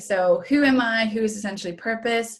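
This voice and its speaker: A woman speaks with a Norwegian accent, somewhat breathy. Her pace is moderate and her pitch varies in an ordinary way. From Norway. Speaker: wellness coach and massage therapist. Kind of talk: webinar presentation. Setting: online webinar.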